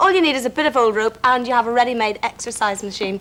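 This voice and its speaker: With an Irish accent, a woman talks very fast at a fairly high pitch, her intonation lively. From Northern Ireland, Belfast. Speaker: children's TV presenter. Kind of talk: scripted TV presenting.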